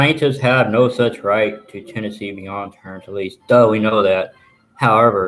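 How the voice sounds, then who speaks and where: A man with a Texan accent speaks in a fairly low pitch. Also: ordinary pitch variation, fairly slow pace, big swings in loudness. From Texas. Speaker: journalist and plaintiff. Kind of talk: live stream commentary reading legal documents. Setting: live stream from home. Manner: animated.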